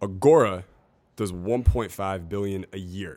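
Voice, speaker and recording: A man's fairly low-pitched voice. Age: 30s. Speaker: online marketer and dating coach. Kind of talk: casual chat. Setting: convention podcast recording.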